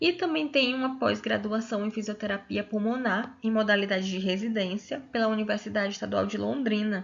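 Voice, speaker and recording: Somewhat breathy, a woman talks at a fairly high pitch and a fairly quick pace, with ordinary pitch variation and hardly any pauses. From Brazil, Piauí. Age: 20s. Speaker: physiotherapist and master's student. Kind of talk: lecture.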